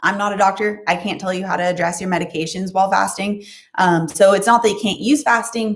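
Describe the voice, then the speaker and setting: A woman talks at a very fast pace with medium pitch. Her voice is somewhat breathy, with ordinary pitch variation. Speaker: nutrition and fasting youtuber. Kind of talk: live stream Q&A.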